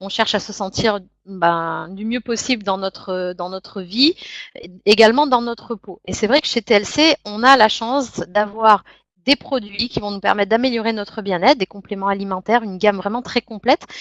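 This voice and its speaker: A woman's plain, everyday voice at medium pitch and moderate pace. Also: ordinary pitch variation. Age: 30s. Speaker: network marketing distributor. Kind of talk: sales pitch. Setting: web conference.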